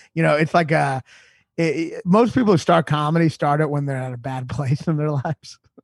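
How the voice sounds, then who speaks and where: Somewhat breathy and fairly quick, the voice shows ordinary pitch variation in a dry, close sound with no echo. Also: man, fairly high pitch for a man. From Louisville, Kentucky. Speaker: stand-up comedian. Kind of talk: casual interview chat. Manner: calm, chill.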